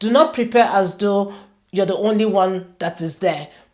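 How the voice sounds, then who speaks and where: Here is a normal speaking voice at a moderate pace. Its pitch varies in an ordinary way. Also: woman. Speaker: career coach and show host. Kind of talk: talking-head advice video.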